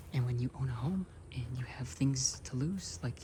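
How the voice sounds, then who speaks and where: In a relaxed tone, a soft-spoken man is whispering. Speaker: ASMR creator. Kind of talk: casual talk to camera, outdoor hike conversation. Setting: outdoors in nature, rain starting. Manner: soft-spoken, whispered, relaxed.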